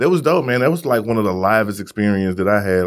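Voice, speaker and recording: A man with an American accent has an unremarkable speaking voice. His pitch sits fairly low and shows ordinary variation. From Missouri. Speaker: podcast host. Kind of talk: casual chat.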